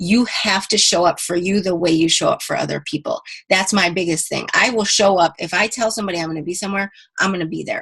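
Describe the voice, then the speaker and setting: Animated in tone, a woman speaks at a very fast pace with a medium pitch and ordinary pitch variation. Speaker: fitness team coach. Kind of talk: team conference call pep talk.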